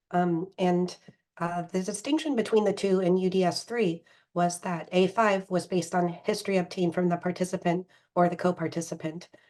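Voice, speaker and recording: A woman's medium-pitched voice with a dark, mellow tone, a fairly quick pace and fairly even intonation. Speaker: physician presenting clinical training. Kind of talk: training presentation. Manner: hesitant, many fillers.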